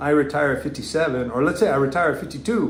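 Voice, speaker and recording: Very fast speech in an American accent, with audible room echo and noticeable background noise. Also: man. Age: 60s. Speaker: retired federal law enforcement officer, vlogger. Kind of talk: live stream Q&A. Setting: live stream. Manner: halting.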